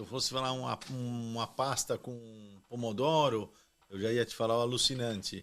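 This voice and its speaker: Here is a man with an unremarkable speaking voice, a medium pitch and fairly even intonation. He keeps a moderate pace against a quiet background. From Brazil, São Paulo. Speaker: winemaker. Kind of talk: casual interview chat.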